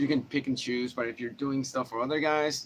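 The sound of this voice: A man's voice comes out nasal, with vocal fry.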